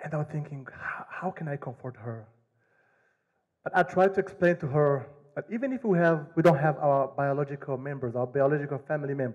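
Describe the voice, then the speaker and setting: A man with a somewhat breathy, fairly high-pitched voice speaks with ordinary pitch variation. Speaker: asylum seeker telling his story. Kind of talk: personal storytelling to an audience.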